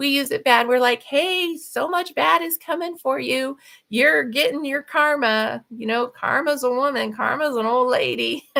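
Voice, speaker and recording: A woman projects a raised, high-pitched voice with a bright, sharp tone. Her intonation is lively and she leaves hardly any pauses. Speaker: livestream host and author. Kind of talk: casual livestream talk. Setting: livestream at home. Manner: fast.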